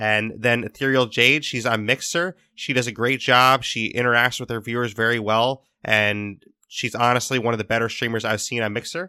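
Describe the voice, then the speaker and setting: A man speaks at medium pitch and a moderate pace with fairly even intonation and a bright, sharp tone. The recording is very clean, with a silent background. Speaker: podcast host. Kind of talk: casual podcast chat.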